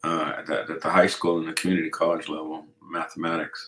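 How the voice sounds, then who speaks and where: A man talks at a moderate pace with a slight Colorado accent. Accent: slight Colorado twang. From Colorado, US (born in Mexico). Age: 60s. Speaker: navy veteran and real estate investor. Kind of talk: casual interview chat.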